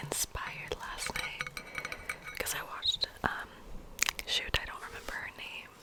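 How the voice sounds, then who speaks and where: Noticeable background noise comes through as a woman speaks in a whisper. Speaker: ASMR artist. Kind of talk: ASMR whisper rambling to camera. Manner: whispered, rambling, casual.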